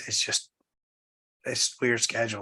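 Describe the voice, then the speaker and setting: A man with a Southern US accent. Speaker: pastor leading Bible study. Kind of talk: casual chat before Bible study. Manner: hesitant, many fillers.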